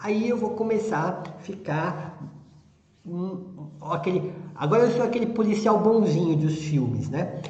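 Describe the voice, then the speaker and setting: Amid audible room echo and noticeable background noise, a man with a high pitch speaks fairly slowly with lively intonation. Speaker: veterinary anesthesia teacher. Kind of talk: lecture. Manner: calm.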